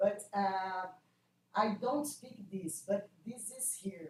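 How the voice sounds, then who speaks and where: Somewhat breathy, a woman with a non-native accent speaks at a fairly slow pace in a medium pitch with ordinary pitch variation. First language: Portuguese. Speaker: classics scholar presenting a paper. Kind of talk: academic Q&A discussion. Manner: halting, hesitant.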